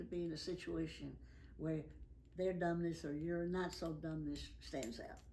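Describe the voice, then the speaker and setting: A woman talks at a moderate pace amid audible room echo. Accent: Tennessee. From US South, Nashville, Tennessee. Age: 90s. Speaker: elderly interviewee recounting life story. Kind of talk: oral history interview.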